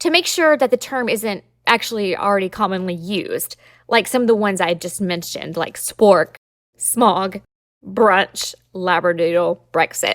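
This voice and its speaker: A woman with a Southern US accent speaks at a fairly slow pace in an upbeat tone. The recording is very clean, with a silent background and a dry, close sound with no echo. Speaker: podcast host, trademark lawyer. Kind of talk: podcast explainer monologue. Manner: conversational, upbeat.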